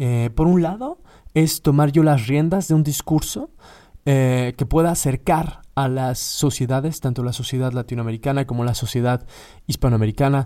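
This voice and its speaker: At a medium pitch and moderate pace, a man talks with ordinary pitch variation in a very clean recording with a silent background. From Mexico. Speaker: podcast host, philologist. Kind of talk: solo podcast monologue. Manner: halting, many fillers.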